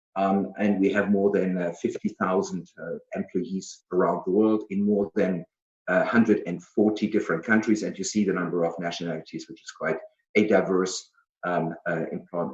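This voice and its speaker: A man with a German accent speaks at a moderate pace, with fairly even intonation and a fairly low pitch. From Germany. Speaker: business executive. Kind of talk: presentation. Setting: video call. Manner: halting, many fillers.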